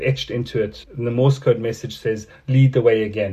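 The voice is somewhat breathy with a dark, mellow tone. It moves at a moderate pace with fairly even intonation. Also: man. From South Africa. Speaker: artist. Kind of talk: interview. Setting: video call.

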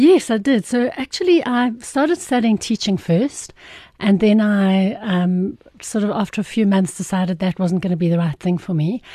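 Against a quiet background, a woman with a medium pitch and a dark, mellow tone speaks at a moderate pace with lively intonation and a somewhat breathy quality. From South Africa, Irene near Pretoria. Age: 50s. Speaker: occupational therapist and business founder. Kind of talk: casual interview.

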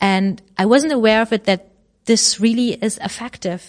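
A woman speaks with a German accent at a moderate pace. Her pitch variation is ordinary. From Germany. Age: 30s. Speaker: chairwoman of a digital policy association. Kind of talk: interview. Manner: halting.

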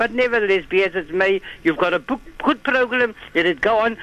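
Moderate-paced speech from a man, high in pitch, amid noticeable background noise. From South Africa. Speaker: caller. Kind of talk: phone-in call.

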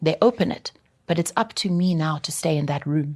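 A woman's very deep, low, somewhat breathy voice at a fairly quick pace, with ordinary pitch variation. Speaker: broadcast journalist and media consultant. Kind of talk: casual interview.

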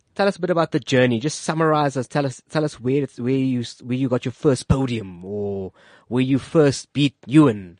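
Against a quiet background, a man with an unremarkable speaking voice talks at a moderate pace and medium pitch, his intonation lively and the sound dry and close with no echo. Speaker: radio host. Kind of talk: radio interview. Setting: studio. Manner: friendly, joking.

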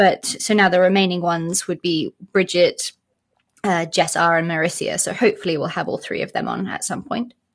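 A woman talks at a fairly quick pace in a British accent. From South Africa. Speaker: podcast co-host. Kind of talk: interview.

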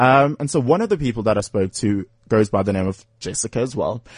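Medium-pitched, somewhat breathy male voice at a fairly quick pace, with a dry, close sound with no echo and a quiet background. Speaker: radio host. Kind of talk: casual chat. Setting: studio. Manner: animated.

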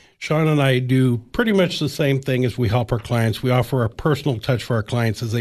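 Against a quiet background, a man with a somewhat breathy, medium-pitched voice talks at a fairly quick pace. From US Midwest, Illinois-Iowa border. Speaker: career coach. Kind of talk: radio interview.

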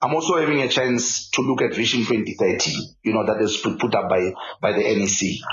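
Somewhat breathy, a man at a medium pitch speaks at a moderate pace with lively intonation and very even loudness, with audible room echo around him. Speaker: football technical director. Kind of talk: interview. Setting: office. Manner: halting, repetitive.

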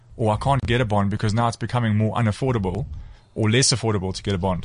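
The man's voice comes across somewhat breathy. He talks very fast. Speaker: real estate business owner. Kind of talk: radio studio interview. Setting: studio.

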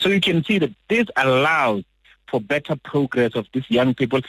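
The voice is somewhat breathy, moves at a fairly quick pace, and swings very widely in pitch. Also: man. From South Africa, Limpopo. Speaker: foundation founder. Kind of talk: radio interview.

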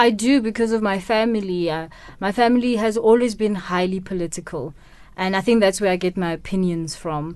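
Woman with a Botswana accent, at a moderate pace and with ordinary pitch variation, over a quiet background. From South Africa, Kimberley, Northern Cape. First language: Setswana. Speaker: radio producer. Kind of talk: interview. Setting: radio studio.

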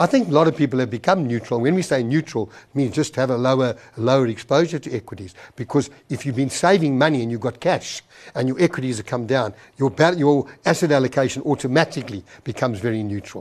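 A man speaks at a very fast pace in a medium pitch. His pitch varies in an ordinary way over a quiet background. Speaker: TV finance show host. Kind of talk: TV interview and viewer questions.

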